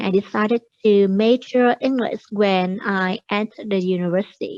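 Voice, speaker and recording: With hardly any pauses, a woman speaks at a moderate pace and fairly high pitch, using ordinary pitch variation in a dry, close sound with no echo. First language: not English. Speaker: English student. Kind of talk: exam speaking practice. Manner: halting.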